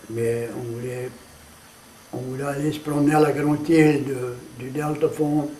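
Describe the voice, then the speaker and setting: A man with a Cajun accent and a fairly high pitch speaks at a fairly slow pace in a flat monotone, with long, frequent pauses, audible room echo and noticeable background noise. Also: big swings in loudness. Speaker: storyteller. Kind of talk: interview.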